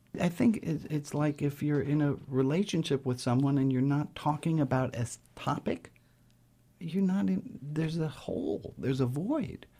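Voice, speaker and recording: A man with an American accent speaks at a moderate pace in a dark, mellow, somewhat breathy tone. His loudness stays very even on a very clean recording with a silent background. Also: fairly high pitch for a man, ordinary pitch variation. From New York City. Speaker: rabbi. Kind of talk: interview.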